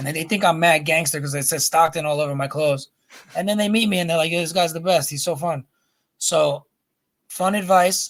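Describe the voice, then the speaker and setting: A man talks at a fairly quick pace in a high pitch. His tone is animated. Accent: New York. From New York, Brooklyn. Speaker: rapper and children's book author. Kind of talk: casual interview chat.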